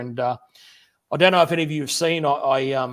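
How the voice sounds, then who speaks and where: The speaker is a man with an Australian accent. His pitch is fairly high, with fairly even intonation. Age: 50s. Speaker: machinist YouTuber and teacher. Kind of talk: livestream interview. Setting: home workshop.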